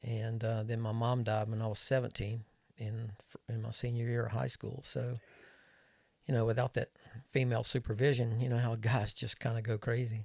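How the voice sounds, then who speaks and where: This man has a medium pitch and a somewhat breathy voice. He talks at a moderate pace with monotone, flat intonation. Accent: American. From US South, North Carolina (Winston-Salem). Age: 70s. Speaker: retired airline captain. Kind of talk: casual chat. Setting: studio.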